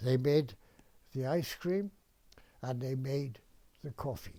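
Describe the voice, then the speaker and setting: Recorded very cleanly against a silent background, a man with a Welsh accent speaks in a fairly high pitch with a dark, mellow tone, lively intonation and a somewhat breathy quality. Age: 80s+. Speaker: retired dentist. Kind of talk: interview answer, reminiscence.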